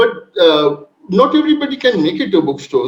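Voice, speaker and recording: A man with a Bengali accent speaks with ordinary pitch variation. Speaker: panel speaker, migration researcher. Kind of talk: academic panel presentation. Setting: online video event. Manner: halting, many fillers.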